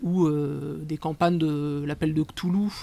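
A man's fairly high voice with vocal fry, a dark, mellow tone and fairly even intonation

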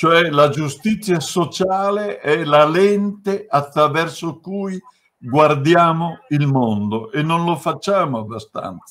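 His speech comes out very slowly. A man uses lively intonation. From Bergamo, Lombardy, northern Italy. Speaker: author and left-wing activist. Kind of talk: book presentation talk. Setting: video call. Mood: earnest, at times emotional. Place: home room. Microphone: video call.

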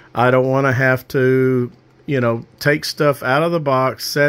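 Speaking at a fairly slow pace is a man. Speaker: amateur radio hobbyist. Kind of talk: casual project overview. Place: home room. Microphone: phone near.

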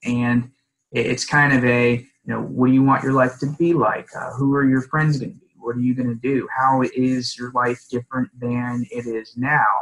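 A man with an American accent, at a moderate pace, in a monotone, flat intonation. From US South, Palm Beach County, Florida; Florida. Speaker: divorce attorney; divorce lawyer. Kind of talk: podcast interview. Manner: hesitant with filler words. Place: office. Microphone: video call.

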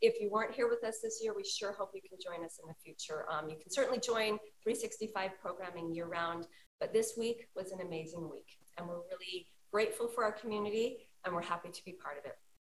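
With music in the background, a woman speaks at a fairly quick pace with big swings in loudness. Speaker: conference content director. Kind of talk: casual chat. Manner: animated. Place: office. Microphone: webcam.

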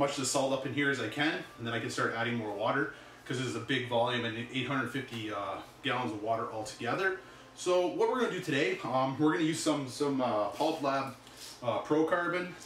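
Audible room echo and light background noise surround a man's voice. He speaks at a fairly quick pace with ordinary pitch variation. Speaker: reef tank hobbyist host. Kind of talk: casual vlog chat. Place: home room. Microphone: camera far.

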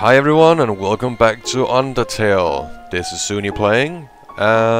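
The clip is plain reading aloud.

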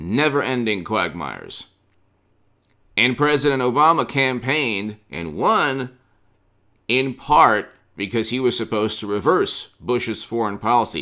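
Against a quiet background, a man speaks at a fairly slow pace with long, frequent pauses, using lively intonation and a bright, sharp tone with vocal fry. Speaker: political commentator. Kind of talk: commentary. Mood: opinionated, critical. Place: home room.

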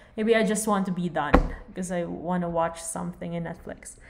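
Speaking at a fairly quick pace with ordinary pitch variation, a woman is heard in audible room echo and noticeable background noise. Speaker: veterinary lecturer. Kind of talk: lecture. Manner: casual.

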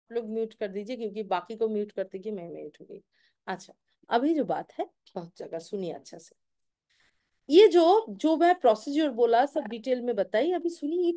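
A woman speaks at a fairly slow pace with an Indian accent, her pitch swinging very widely. Her loudness also swings a lot, against a quiet background. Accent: Indian English, Hindi-speaking. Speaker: tarot reader and meditation host. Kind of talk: live session instructions to participants. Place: home room. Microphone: phone near.

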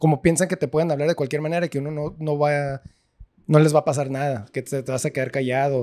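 A man with a fairly high pitch and a dark, mellow tone speaks at a very fast pace with fairly even intonation. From US-Mexico border, born in California to Mexicali parents; California. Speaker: podcast host. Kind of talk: casual chat. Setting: restaurant. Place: bar. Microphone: handheld.

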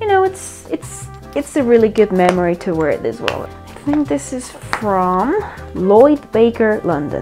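A woman speaks at a fairly slow pace as clear music plays behind her. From Mexico. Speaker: architect. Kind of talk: casual talk to camera. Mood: cheerful, enthusiastic. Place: home room. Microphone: lapel.

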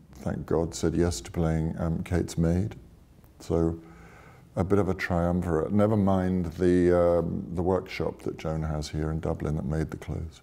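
With a very deep, low pitch and a dark, mellow tone, a man talks in a monotone, flat intonation. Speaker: actor and film director. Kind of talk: interview answer. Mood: calm, reflective. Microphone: lapel.

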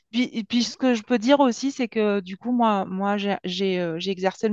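Dry, echo-free speech from a woman with ordinary pitch variation, set against a quiet background. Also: hardly any pauses. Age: 40s. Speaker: program participant giving testimony, former nurse. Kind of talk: testimony. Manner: halting, with many fillers. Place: home room. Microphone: headset.

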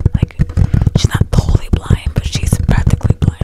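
A woman whispering at a fairly quick pace. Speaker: ASMR creator. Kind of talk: casual talk to camera. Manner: conversational, sympathetic. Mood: sympathetic. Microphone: studio mic.

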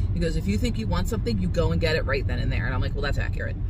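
Loud background noise surrounds a woman's voice. The sound is dry, with no echo. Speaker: vlogger. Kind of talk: casual vlog chat. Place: car. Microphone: phone near.

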